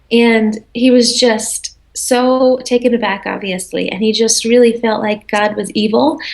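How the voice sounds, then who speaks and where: Clear background noise sits behind a woman whose voice is pitched rather high. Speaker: entrepreneur and author. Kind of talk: interview answer. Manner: soft-spoken, gentle.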